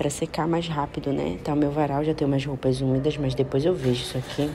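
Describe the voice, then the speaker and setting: Over noticeable background noise, a woman with a very deep, low voice talks at a fairly quick pace. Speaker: vlogger, mother. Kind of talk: vlog voice-over narration. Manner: casual, chatty.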